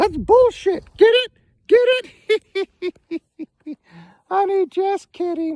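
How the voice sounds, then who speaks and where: A cartoonish character voice with extremely high pitch speaks at a very slow pace. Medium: puppet. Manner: teasing, playful.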